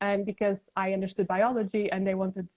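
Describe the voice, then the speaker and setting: Recorded with a dry, close sound and no echo, a woman with a Portuguese accent talks at a moderate pace and a medium pitch. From Portugal, Lisbon. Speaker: science communicator. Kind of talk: interview. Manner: halting.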